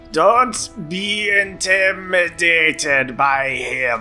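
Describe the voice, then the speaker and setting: Using a put-on character voice, a man speaks at a high pitch and a very slow pace. Clear music plays in the background. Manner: slow motion; encouraging.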